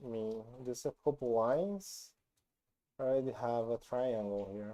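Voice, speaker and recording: A dark, mellow voice with a non-native accent, ordinary pitch variation and a moderate pace. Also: man, medium pitch for a man. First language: not English. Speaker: programming YouTuber. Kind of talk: tutorial. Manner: halting, many fillers.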